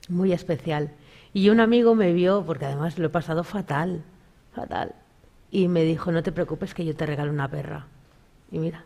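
With a dark, mellow tone and a fairly low pitch, a woman talks at a moderate pace with ordinary pitch variation and long, frequent pauses. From Galicia, Spain. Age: 40s. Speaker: spiritual medium; talk show guest. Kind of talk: casual interview with audience readings. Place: studio.

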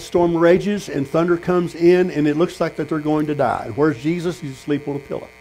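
Here a man speaks at a very fast pace. His pitch is fairly high. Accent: Texan. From Texas. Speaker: pastor. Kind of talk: sermon. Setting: tent meeting with congregation. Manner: animated. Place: tent. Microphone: camera far.

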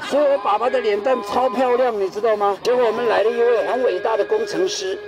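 Over clear background music, a man talks at a fairly quick pace. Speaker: tour guide. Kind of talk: humorous guided tour talk. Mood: jokey, lively storytelling. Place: open country.

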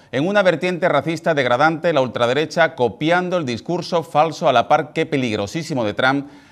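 An angry man with an Andalusian accent at a fairly quick pace, with hardly any pauses and ordinary pitch variation, over a quiet background. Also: fairly high pitch for a man. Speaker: TV presenter. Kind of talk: TV editorial commentary. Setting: TV studio. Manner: angry, indignant, forceful. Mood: indignant, critical. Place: studio. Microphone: lapel.

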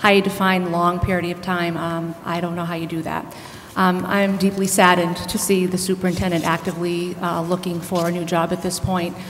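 With light background noise behind her, a woman speaks fairly quickly in an American accent with monotone, flat intonation. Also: fairly low pitch for a woman. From Southbridge, Massachusetts; Massachusetts. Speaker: school committee candidate; candidate. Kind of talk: candidate debate. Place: hall. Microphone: podium.

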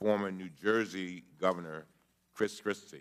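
Very deep and low in pitch, a man speaks at a fairly slow pace with ordinary pitch variation. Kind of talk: formal opening statement. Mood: grave, emphatic. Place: hall. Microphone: podium.

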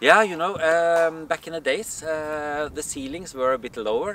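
A man's voice with very wide pitch swings, dry sound with no echo, and light background noise. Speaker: folk dance teacher. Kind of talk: interview answer. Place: open country.

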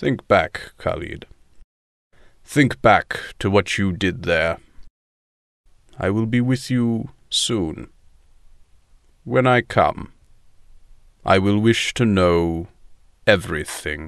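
A man's fairly low voice at a very slow pace. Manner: dry, self-aware sarcasm, weary authority; harsh but resigned.

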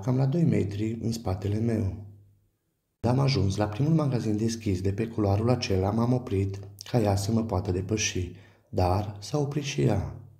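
Somewhat breathy and dark, mellow in tone, a man speaks at a fairly low pitch and a moderate pace with ordinary pitch variation. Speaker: storyteller. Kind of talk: horror story narration, first-person. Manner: tense, hushed, suspenseful storytelling.

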